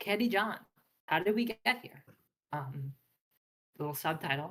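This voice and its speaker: Her intonation is lively as this woman speaks. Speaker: PhD student presenting fan analysis. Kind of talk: slideshow presentation. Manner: fast; casual, many filler words.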